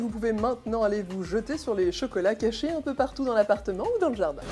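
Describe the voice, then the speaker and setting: Against noticeable background noise, a woman speaks at a fairly quick pace with lively intonation. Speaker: TV presenter. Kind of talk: lifestyle and web TV presenter read.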